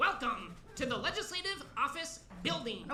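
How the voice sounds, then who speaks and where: A put-on character voice at an extremely high pitch, with slight echo and clear background noise. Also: moderate pace. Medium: stage play. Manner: deadpan, monotone listing.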